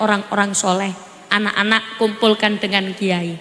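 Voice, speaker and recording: A woman speaks at a moderate pace in a room with audible echo, with noticeable background noise behind her. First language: Javanese (speaking Indonesian). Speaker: female Islamic preacher. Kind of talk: sermon. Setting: stage with audience. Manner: animated.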